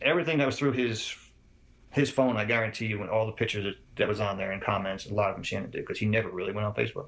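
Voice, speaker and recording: Somewhat breathy and fairly low, a man's voice rushes along at a very fast pace. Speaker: father of a murder victim. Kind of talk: interview answer.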